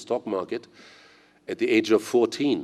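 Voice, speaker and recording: A man's German-accented voice at a moderate pace. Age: 60s. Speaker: investor and conference speaker. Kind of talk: conference speech.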